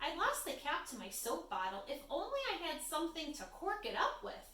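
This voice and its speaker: A woman's squeaky, put-on character voice, extremely high-pitched with very wide pitch swings, at a moderate pace, with light background noise and a slight echo. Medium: read story.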